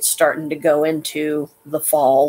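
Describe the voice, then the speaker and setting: Her voice sits at a very deep, low pitch, and she speaks at a fairly slow pace. This woman's intonation is monotone and flat. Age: 50s. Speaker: live streamer; vlogger. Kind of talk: casual live stream monologue; casual vlog chat. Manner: halting, many fillers. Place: home room. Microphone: webcam.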